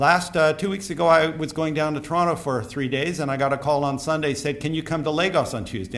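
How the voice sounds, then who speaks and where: The pitch moves in an ordinary way. A man speaks at a fairly quick pace. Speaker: conference speaker on airport rail. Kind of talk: conference talk. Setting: stage with audience. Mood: wry, anecdotal. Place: hall. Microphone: podium.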